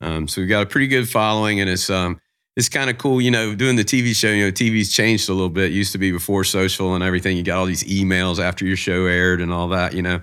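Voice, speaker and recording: A man with a Southern US accent talks very fast, with hardly any pauses, in a very deep, low voice that has a bright, sharp tone. His intonation is fairly even, and the recording is very clean with a silent background. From US South, Jacksonville, Florida. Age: 50s. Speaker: fishing charter captain and TV host. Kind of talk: casual interview.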